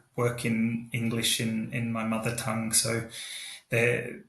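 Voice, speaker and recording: A man with an Australian accent speaks at a fairly slow pace in a medium pitch, with audible room echo. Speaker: expat professional. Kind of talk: panel discussion. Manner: halting.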